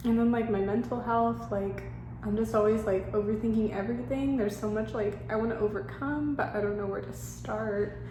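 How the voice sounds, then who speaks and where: A woman talks at a fairly quick pace. Noticeable background noise and audible room echo can be heard. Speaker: vlogger. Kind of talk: personal vlog confession. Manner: halting; hesitant, filler-heavy.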